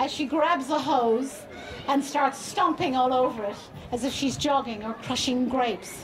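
Crowd noise fills the background as a woman speaks high at a fairly slow pace. Her pitch variation is ordinary. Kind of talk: public speech, storytelling. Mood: warm, amused. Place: stage. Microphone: handheld.

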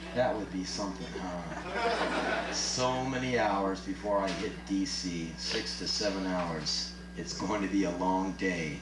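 Over loud background noise, a man talks at a fairly slow pace. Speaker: spoken word performer. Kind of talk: live spoken word performance. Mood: sardonic, comic. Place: stage.

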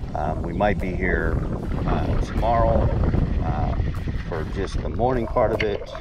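A man talks at a fairly slow pace over loud background noise. The sound is dry, with no echo. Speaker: angler vlogger. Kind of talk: casual vlog chat. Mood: cheerful, relaxed. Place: waterside. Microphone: phone near.

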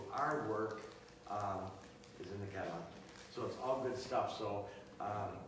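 At a moderate pace, a man talks through audible room echo and noticeable background noise. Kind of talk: casual live-stream talk. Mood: proud, enthusiastic. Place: shop. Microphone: camera far.

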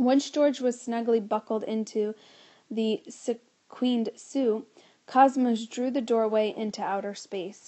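The intonation is fairly even. It comes in a natural reading voice.

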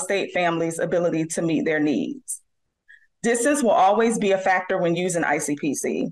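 Over a quiet background, a woman speaks at a fairly quick pace with lively intonation. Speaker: presenter. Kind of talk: presentation. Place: home room.

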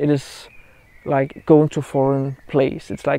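In a dry sound with no echo, a man talks at a moderate pace with a monotone, flat intonation. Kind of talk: casual vlog chat. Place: open country. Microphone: lapel.

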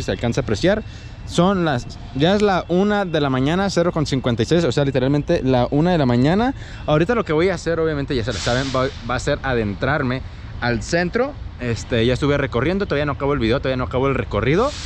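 A man talks at a fairly quick pace, his voice dry with no echo over light background noise. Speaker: bike vlogger. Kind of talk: casual vlog chat. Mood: slightly uneasy, calm. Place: street. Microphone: phone near.

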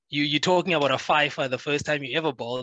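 A man speaks in a bright, sharp tone, recorded dry with no echo against a quiet background. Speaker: sports show host. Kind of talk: casual chat. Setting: video call. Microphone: headset.

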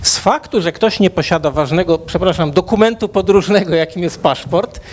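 A man talks at a fairly quick pace. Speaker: debate panelist. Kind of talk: panel debate. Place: hall. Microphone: handheld.

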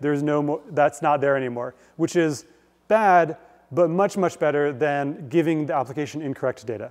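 Fairly quick and with fairly even intonation, a man talks against a quiet background. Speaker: guest lecturer. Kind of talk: lecture. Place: hall.

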